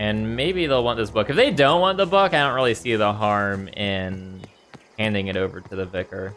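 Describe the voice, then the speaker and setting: A man's fairly deep voice comes through alongside clearly audible background noise. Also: lively intonation, moderate pace. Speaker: gaming streamer. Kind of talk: let's play commentary. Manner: casual, thinking aloud.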